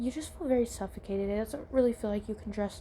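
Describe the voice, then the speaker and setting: A woman with an American accent, her fairly high voice somewhat breathy and dark, mellow in tone, at a very fast pace. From US South. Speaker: podcaster. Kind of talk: casual chat. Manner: animated.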